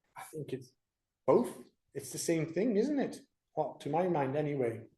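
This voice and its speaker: Audible room echo surrounds a man with a dark, mellow tone who uses lively intonation at a moderate pace. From Netherlands. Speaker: creation speaker. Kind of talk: church presentation.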